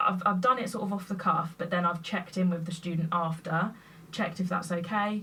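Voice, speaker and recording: Loud and bright with a sharp edge, a woman's fairly low voice moves at a fairly quick pace. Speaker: teacher. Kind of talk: casual chat. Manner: loud and clear.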